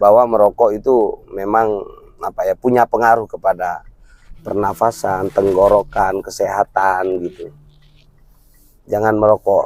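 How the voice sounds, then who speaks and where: A man speaks at a fairly slow pace in a fairly low pitch, his flat, monotone delivery broken by long, frequent pauses, with a dry, close sound and no echo. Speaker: vlogger. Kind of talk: casual chat.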